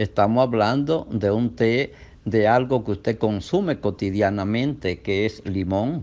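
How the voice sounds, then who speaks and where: A man with an ordinary speaking voice, very even loudness, and ordinary pitch variation. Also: fairly low pitch for a man, fairly slow pace. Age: 60s. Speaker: doctor. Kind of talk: health talk.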